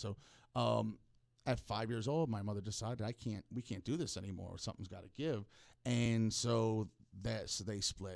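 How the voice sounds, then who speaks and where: At a moderate pace, a man talks in a medium pitch. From Florida (Hollywood, FL). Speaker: podcast host. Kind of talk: casual monologue, personal storytelling. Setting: podcast studio. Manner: halting, repeats words.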